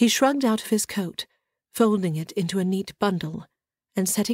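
An unforced reading voice, ordinary pitch variation, quiet background

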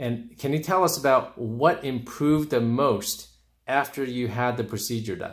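At a moderate pace, a man with an unremarkable speaking voice talks at a medium pitch with ordinary pitch variation. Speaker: urologist. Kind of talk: interviewing a patient.

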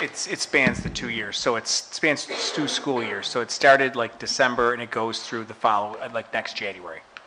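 A man talks with hardly any pauses and fairly even intonation. Noticeable background noise runs underneath. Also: moderate pace. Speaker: school superintendent. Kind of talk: report to board. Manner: jokey, informal. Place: meeting room. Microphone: podium.

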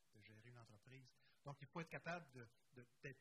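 Noticeable background noise surrounds a man speaking. His pitch is medium and his pace fairly quick. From Quebec. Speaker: cooperative federation director; panelist. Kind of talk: conference panel discussion. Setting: conference room with live and online audience. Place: hall. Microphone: handheld.

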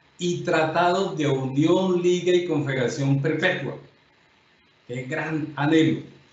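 Audible room echo surrounds a man whose voice sits at a fairly high pitch. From Colombia. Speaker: judge and lecturer; judge, lecturer. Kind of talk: lecture. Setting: videoconference. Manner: formal. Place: home room. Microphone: webcam.

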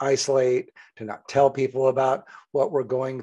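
A man is speaking. The background is quiet. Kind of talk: talk to camera giving advice. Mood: calm, warm, empathetic. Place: home room. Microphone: studio mic.

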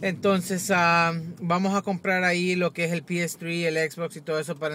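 The man's tone is bright and sharp, the sound dry with no echo, over light background noise. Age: 20s. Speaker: tech YouTuber; tech vlogger. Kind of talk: casual vlog. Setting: in a car. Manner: halting, repetitive. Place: car. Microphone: phone near.

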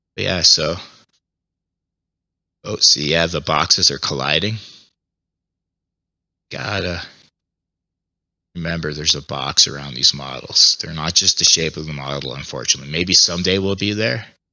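With vocal fry and a very deep, low pitch, a man speaks at a moderate pace against a quiet background, using ordinary pitch variation, big swings in loudness and long, frequent pauses. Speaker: VR gaming YouTuber. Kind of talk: casual VR gameplay commentary. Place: home room. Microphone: headset.

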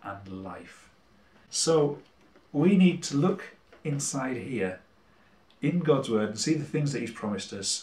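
Audible room echo surrounds a man's fairly high voice. He talks somewhat breathily at a fairly slow pace. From Cumbria, England. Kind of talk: religious talk to camera. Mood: warm, encouraging. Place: kitchen. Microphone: camera far.

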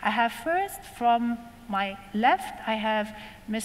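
A woman's speech carries lively intonation. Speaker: panel moderator. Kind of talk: panel introduction. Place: hall.

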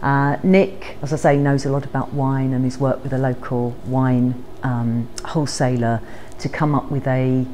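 With light background noise behind her, a woman speaks in a very deep, low voice at a moderate pace with fairly even intonation. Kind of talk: casual interview-style chat. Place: shop. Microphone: phone near.

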